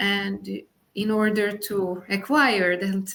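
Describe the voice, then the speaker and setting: A woman with a Hungarian accent speaks at a medium pitch in a flat monotone. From Hungary. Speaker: Montessori teacher. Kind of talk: interview discussion. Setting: podcast recording. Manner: hesitant, many fillers.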